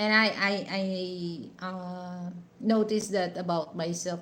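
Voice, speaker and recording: A woman with a Western Visayas accent, medium pitch, fairly even intonation and a very slow pace. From Negros Occidental, Philippines. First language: Hiligaynon. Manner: slow speaker.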